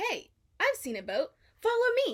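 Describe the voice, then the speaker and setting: Using a put-on character voice, a woman speaks at a moderate pace in a squeaky, extremely high pitch. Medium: read story. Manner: bubbly, cheerful.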